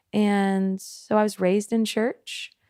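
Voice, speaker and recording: A woman with a Southern US accent speaks at medium pitch in a monotone, flat intonation, the sound dry and close with no echo. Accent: Southern twang. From US South, Memphis, Tennessee. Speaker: worship pastor. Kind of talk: casual chat. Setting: on location in a coastal town.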